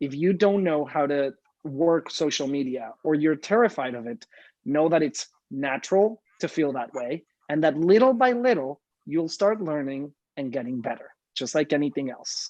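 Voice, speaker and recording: A man with a Spanish accent at a fairly high pitch, moderate pace and lively intonation, against a quiet background. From Mexico. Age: young. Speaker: real estate agent. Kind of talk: casual interview. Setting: live video stream.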